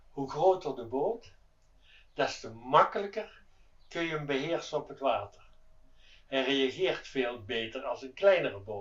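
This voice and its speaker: A man speaks slowly, leaving long, frequent pauses. His fairly high voice has very wide pitch swings and big swings in loudness. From Netherlands, Limburg. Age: 70s. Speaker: yacht owner. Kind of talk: testimonial interview. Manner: halting.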